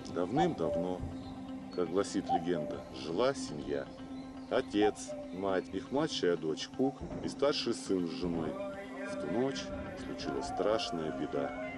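Over clear music in the background, a cartoonish character voice moves slowly with big pitch swings. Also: man, low pitch for a man.

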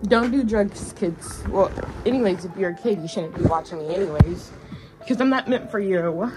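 Clear music plays in the background as the voice moves at a moderate pace with ordinary pitch variation. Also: woman. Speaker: vlogger. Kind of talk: casual vlog chat. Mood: relaxed, joking. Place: home room. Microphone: phone near.

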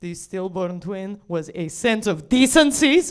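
A woman talks very slowly. Her surroundings are quiet. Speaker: comedian. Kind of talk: stand-up comedy bit. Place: stage. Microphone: handheld.

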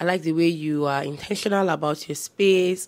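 An ordinary speaking voice from a woman, fairly low in pitch, with fairly even intonation at a moderate pace. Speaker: home decor vlogger. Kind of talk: casual vlog chat. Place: home room. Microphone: lapel.

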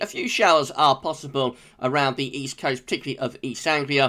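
With a British accent, a man talks at a moderate pace in a bright, sharp tone. The recording is very clean, with a silent background. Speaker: weather forecaster. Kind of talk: daily weather forecast video, informal solo delivery of technical meteorology. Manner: steady, matter-of-fact pacing with frequent 'uh' hesitations; relaxed, conversational, friendly tone.

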